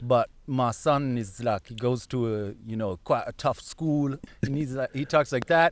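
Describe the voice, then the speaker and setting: Over a silent background on a very clean recording, a man with a Canadian prairie accent talks at a medium pitch with lively intonation. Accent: Canadian prairie accent, slow, coming back. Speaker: comedian. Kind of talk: casual chat.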